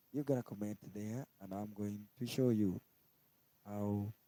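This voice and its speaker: In a Kenyan accent, a man talks at a very slow pace with a fairly low pitch, fairly even intonation and a dark, mellow tone. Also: dry, close sound with no echo. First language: Kikuyu. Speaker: language teacher on live stream. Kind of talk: tutorial. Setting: live stream.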